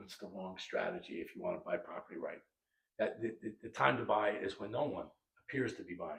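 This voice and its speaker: A man at a fairly quick pace, with big swings in loudness. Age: 60s. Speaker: real estate market analyst. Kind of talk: interview.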